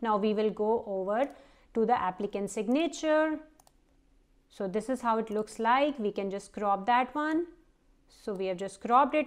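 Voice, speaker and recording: A woman's unremarkable speaking voice, fairly high in pitch, at a moderate pace with ordinary pitch variation, over a quiet background. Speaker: vlogger and parent. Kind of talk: tutorial.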